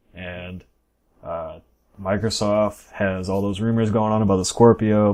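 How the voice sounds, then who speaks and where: On a very clean recording with a silent background, a man with a dark, mellow tone speaks fairly slowly at a fairly low pitch with fairly even intonation. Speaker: gaming website owner. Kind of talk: casual chat. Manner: monotone.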